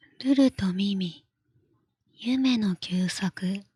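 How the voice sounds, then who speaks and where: This woman speaks at a medium pitch and a very slow pace, somewhat breathy, with ordinary pitch variation and a dry, close sound that has no echo. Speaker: virtual streamer. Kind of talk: bedtime story reading. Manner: whispered, soft, relaxed; slow, leisurely.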